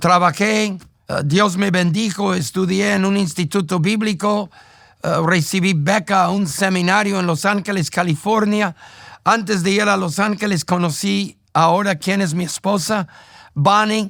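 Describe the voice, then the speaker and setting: On a very clean recording with a silent background, a man with an English accent speaks at a fairly slow pace in a high-pitched, bright, sharp tone with fairly even intonation. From United States. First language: English (speaking Spanish). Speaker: pastor. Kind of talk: testimony.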